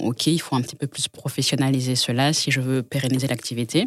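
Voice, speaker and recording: A woman with a very deep, low pitch talks on a very clean recording over a silent background. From Congo. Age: young. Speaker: home textile brand founder. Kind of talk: casual chat. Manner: halting.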